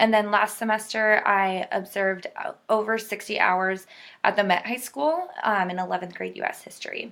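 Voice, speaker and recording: Against a silent background, a very clean recording captures a woman with a Californian accent. She speaks at a moderate pace. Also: medium pitch for a woman, ordinary pitch variation. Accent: Californian American English. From US West Coast, Southern California. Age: 20s. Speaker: student teacher. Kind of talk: personal introduction. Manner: casual, hesitant with many fillers.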